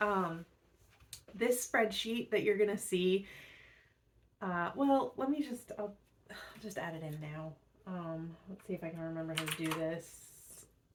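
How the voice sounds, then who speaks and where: A woman's fairly slow, relaxed delivery at a medium pitch, with lively intonation, big swings in loudness, long and frequent pauses, and noticeable background noise. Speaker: book youtuber. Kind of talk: casual chat. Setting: screen recording at home. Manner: relaxed, low-key.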